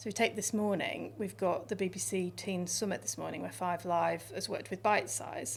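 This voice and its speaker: This woman, with a northwest English accent, speaks at a moderate pace. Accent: northern English, Northwest. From northern England, Lancashire and Yorkshire. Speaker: radio station controller. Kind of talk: interview.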